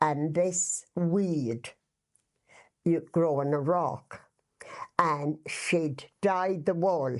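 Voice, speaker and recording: Speaking very slowly with long, frequent pauses, a woman in an Irish accent uses a fairly low pitch with ordinary variation and very even loudness. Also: quiet background. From west of Ireland. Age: 80s+. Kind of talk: casual reminiscing interview answer.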